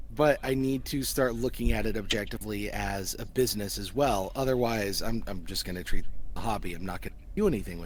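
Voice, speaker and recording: Amid audible room echo, a man talks at a very fast pace. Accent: American. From US Midwest, central Missouri. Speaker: voice actor and audio engineer. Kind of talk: casual chat.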